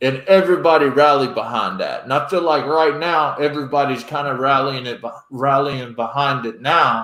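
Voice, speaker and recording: A man with a North Carolina accent speaks at a moderate pace in a fairly high pitch, his tone bright and sharp, with hardly any pauses. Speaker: podcast host, military veteran. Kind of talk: casual chat. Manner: animated.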